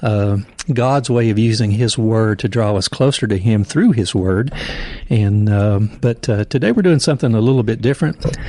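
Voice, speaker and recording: A man with an unremarkable speaking voice talks at a medium pitch and moderate pace, with ordinary pitch variation and very even loudness. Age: 60s. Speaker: pastor and podcast host. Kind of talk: casual podcast conversation.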